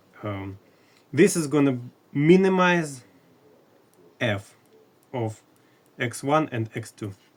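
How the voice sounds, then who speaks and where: At a very slow pace with long, frequent pauses, a man with a non-native accent speaks at a fairly high pitch, using lively intonation and big swings in loudness. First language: not English. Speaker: math educator. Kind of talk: lecture. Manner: halting.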